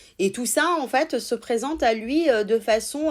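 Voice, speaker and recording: This is a woman with a high pitch and lively intonation. She talks at a fairly slow pace in a very clean recording with a silent background. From Italy. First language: Italian (speaking French). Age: 30s. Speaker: sex therapist. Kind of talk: interview conversation.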